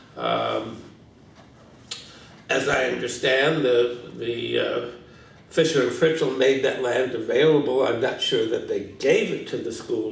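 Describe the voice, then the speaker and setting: With a St. Louis accent, a man speaks fairly slowly amid noticeable background noise and audible room echo. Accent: St. Louis Midwestern American. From US Midwest, St. Louis, Missouri. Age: 60s. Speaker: retired teacher, longtime resident. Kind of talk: oral history interview. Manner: hesitant, many fillers.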